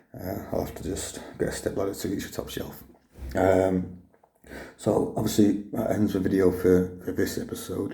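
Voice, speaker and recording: A man speaks at a moderate pace with a very deep, low pitch. His intonation is monotone and flat, with audible room echo. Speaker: vlogger sharing cancer journey. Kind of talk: personal video diary. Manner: halting with many fillers.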